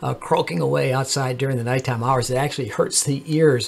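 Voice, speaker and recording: A man talks at a fairly quick pace in a medium pitch. Noticeable background noise can be heard. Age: 70s. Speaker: amateur astronomer YouTuber. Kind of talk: tutorial. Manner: halting, many fillers.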